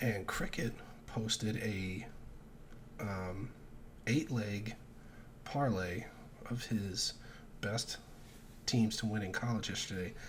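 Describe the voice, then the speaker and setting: The man's voice is fairly low in pitch. It has a somewhat breathy quality. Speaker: sports betting youtuber. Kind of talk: casual solo vlog. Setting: at home, early morning. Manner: keeping voice down.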